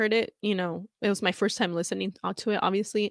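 A woman speaks at a fairly quick pace in a plain, everyday voice, fairly high in pitch, on a very clean recording with a silent background and a dry, close sound with no echo. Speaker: fan podcast host. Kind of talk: casual solo podcast reading fan comments. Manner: casual, frequent laughs and fillers.

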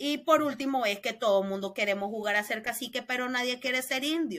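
Bright, sharp tone at a fairly quick pace. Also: woman. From Nicaragua, León. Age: 30s. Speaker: opposition politician. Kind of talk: interview.

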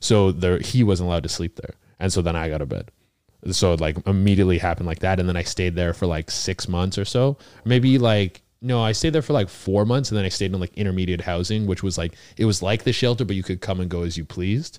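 Talking at a very fast pace with a Canadian accent, a man has a very deep, low pitch on a very clean recording with a silent background. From British Columbia, Canada. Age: 30s. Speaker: stand-up comedian. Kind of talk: casual chat. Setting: studio, sharing a mic on a couch.

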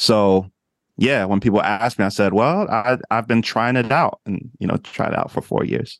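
Using a normal speaking voice, a man talks at medium pitch and a moderate pace with ordinary pitch variation. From New Jersey. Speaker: life coach, former minister. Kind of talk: casual interview chat.

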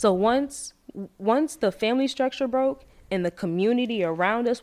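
With an unremarkable speaking voice, a woman sounds fairly high in pitch and uses lively intonation. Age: 20s. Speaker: hairstylist and salon owner. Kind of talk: casual chat.

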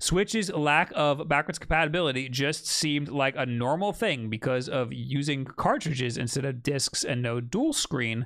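In a very clean recording with a silent background, the speaker has an American accent, a moderate pace, and ordinary pitch variation. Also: man, fairly high pitch for a man, hardly any pauses. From Long Island, New York. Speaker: podcast host. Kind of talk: casual chat. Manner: loud, animated.

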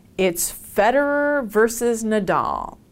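Recorded very cleanly against a silent background, an unremarkable speaking voice carries lively intonation. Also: woman. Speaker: linguistics professor. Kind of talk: interview explanation.

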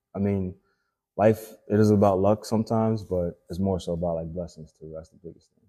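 A man's fairly low, dark, mellow voice at a fairly quick pace, with fairly even intonation and big swings in loudness. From Haiti, raised in Florida. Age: 20s. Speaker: actor. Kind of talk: casual chat.

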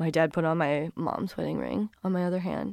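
The sound is dry and close with no echo as a woman with a fairly low voice talks at a fairly quick pace. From US, Korean-American family. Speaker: musician. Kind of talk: personal storytelling.

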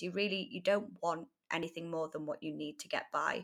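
A bright, sharp tone in a North Welsh accent, with ordinary pitch variation, in a very clean recording over a silent background. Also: woman. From North Wales. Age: 20s. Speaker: freelance writer. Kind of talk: casual interview.

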